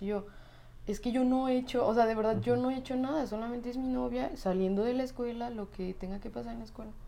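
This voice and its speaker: A woman's very fast speech in a Mexican accent, fairly high-pitched with ordinary pitch variation, over noticeable background noise. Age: 20s. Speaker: physiotherapist. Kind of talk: personal testimony interview.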